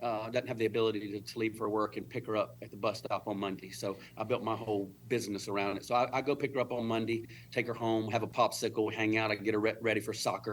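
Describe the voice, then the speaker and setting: A man speaks with a medium pitch. His pace is fairly quick. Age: 50s. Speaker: fitness and wellness entrepreneur. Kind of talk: casual chat. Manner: fast.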